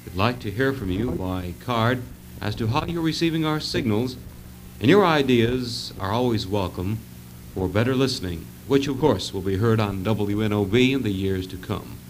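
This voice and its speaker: A man with a plain, everyday voice speaks at a moderate pace in a fairly low pitch. His pitch variation is ordinary, with light background noise behind him. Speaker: radio announcer. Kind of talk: radio station sign-off announcement. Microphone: old recording.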